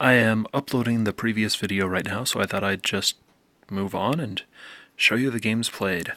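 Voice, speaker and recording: A man speaks soft-spoken in a bright, sharp tone at a fairly low pitch. His intonation is fairly even, on a very clean recording with a silent background. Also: moderate pace. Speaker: video game youtuber. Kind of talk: casual vlog commentary. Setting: at home late at night.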